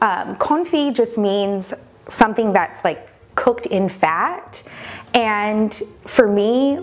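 Faint background music accompanies a woman talking with ordinary pitch variation. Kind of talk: cooking tutorial. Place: kitchen. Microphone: lapel.

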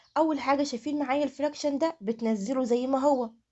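The speaker has an Egyptian accent and ordinary pitch variation. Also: woman. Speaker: math teacher. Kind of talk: tutorial.

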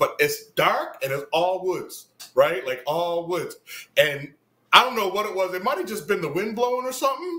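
Raising and projecting his high voice, a man speaks at a moderate pace with a bright, sharp tone and very wide pitch swings. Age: 40s. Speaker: musician. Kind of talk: casual chat.

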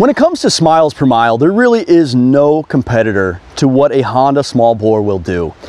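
A fairly quick, American-accented delivery with hardly any pauses, in a dry sound with no echo. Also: man, medium pitch for a man, lively intonation. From United States. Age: 30s. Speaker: motorcycle reviewer. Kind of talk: product review. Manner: animated; halting. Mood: enthusiastic, relaxed. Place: forest.

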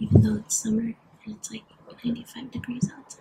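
Against loud background noise, a woman is soft-spoken. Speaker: ASMR creator. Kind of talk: soft-spoken ASMR role play. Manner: soft, hushed caring voice. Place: home room. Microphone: phone near.

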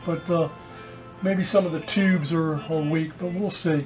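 A man at a moderate pace, faint music in the background. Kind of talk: tutorial. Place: workshop. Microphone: camera far.

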